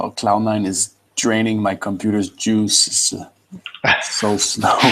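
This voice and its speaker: The speech comes in a Quebec accent with monotone, flat intonation. The pace is fairly slow. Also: man, fairly low pitch for a man. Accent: French Canadian accent in English. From Quebec (French Canada). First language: French. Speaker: computer science student. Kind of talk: pair programming session.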